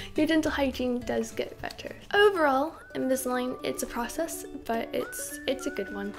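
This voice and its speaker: Over faint music in the background, a woman with a high pitch talks at a moderate pace. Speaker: vlogger. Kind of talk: casual vlog chat. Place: home room.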